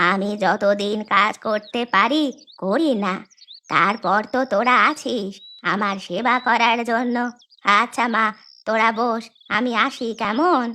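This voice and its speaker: A woman puts on a cartoonish character voice. It is fairly high-pitched and delivered at a fairly slow pace. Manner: warm, motherly.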